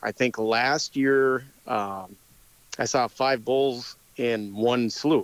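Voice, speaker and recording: A man with an Upper Midwest accent speaks at a very slow pace. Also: medium pitch for a man, fairly even intonation. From North Dakota. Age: 40s. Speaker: hunter. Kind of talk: casual interview.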